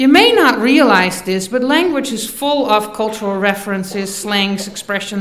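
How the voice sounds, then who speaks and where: A woman with a Dutch accent, fairly high in pitch, ordinary pitch variation, a moderate pace, and noticeable background noise. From Netherlands. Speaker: university faculty member. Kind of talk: commencement speech.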